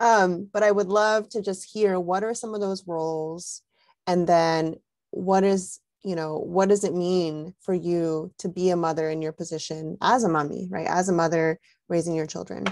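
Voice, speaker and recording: Delivered at a moderate speed, this is an ordinary speaking voice with fairly even intonation. Behind it, the background stays quiet. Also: woman, fairly low pitch for a woman. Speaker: parenting organization host. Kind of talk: video call interview. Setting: video call.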